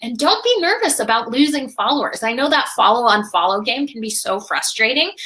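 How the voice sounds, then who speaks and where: A woman speaks in a raised, projected voice, animated and at a fairly quick pace. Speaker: social media marketing webinar host. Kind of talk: live webinar presentation. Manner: fast.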